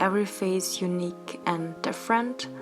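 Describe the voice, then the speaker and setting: Fairly slow speech from a woman over noticeable background noise. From Austria. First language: German. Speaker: YouTuber and doll-face artist. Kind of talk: casual vlog monologue while crafting. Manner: casual, rambling.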